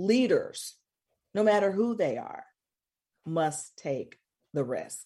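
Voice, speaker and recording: A woman with an American accent speaks at a very slow pace, medium in pitch, her tone dark and mellow with vocal fry. Her pitch swings very widely. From US South, Mississippi. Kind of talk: radio talk show interview.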